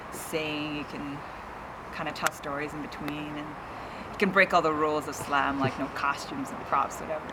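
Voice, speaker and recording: With noticeable background noise behind her, a woman talks at a fairly quick pace in a very deep, low pitch with a Canadian accent. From Kitchener-Waterloo, Ontario, Canada. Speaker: spoken word poet and singer-songwriter. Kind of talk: interview answer. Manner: casual, conversational.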